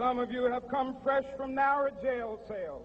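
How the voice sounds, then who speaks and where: A man at a fairly slow pace. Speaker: minister. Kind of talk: political speech at a mass rally. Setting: outdoors, PA system. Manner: rousing oratory.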